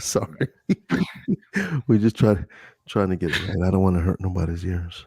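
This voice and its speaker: Taking long, frequent pauses, a man speaks in a very deep, low voice with a dark, mellow tone, somewhat breathy and with fairly even intonation, in a dry, close recording with no echo. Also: moderate pace. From US, Delaware. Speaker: ASMR streamer. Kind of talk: casual live-stream chat.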